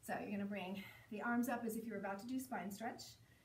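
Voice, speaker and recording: A woman speaks with fairly even intonation over light background noise and audible room echo. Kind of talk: exercise class instruction. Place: home room. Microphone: camera far.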